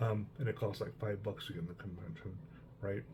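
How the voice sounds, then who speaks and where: A man with an American accent speaks in a relaxed, dark, mellow, somewhat breathy tone at a fairly low pitch with ordinary pitch variation. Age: 60s. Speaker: hobby vlogger, veteran wargamer. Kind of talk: casual personal monologue. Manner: relaxed, many fillers.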